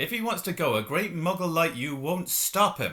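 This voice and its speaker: A man uses a put-on character voice, growling in a high pitch. He keeps a moderate pace. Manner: defiant.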